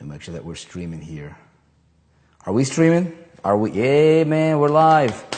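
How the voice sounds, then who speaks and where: Amid audible room echo, a man speaks with long, frequent pauses and very wide pitch swings. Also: moderate pace. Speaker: online marketing trainer. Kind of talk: live stream chat. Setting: livestream. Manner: animated.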